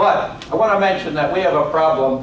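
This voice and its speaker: Amid noticeable background noise and audible room echo, a man in a New York accent speaks at a moderate pace with ordinary pitch variation. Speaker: lecturer and author. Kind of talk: lecture. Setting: college classroom.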